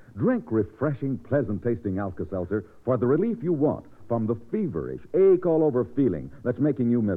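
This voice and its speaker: Very wide pitch swings mark this man's medium-pitched voice at a fairly quick pace. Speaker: radio announcer. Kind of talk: radio commercial.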